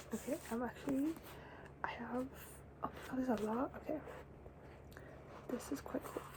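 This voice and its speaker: The speaker is whispering. There is noticeable noise in the background. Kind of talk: ASMR book chat to camera. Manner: excited, chatty.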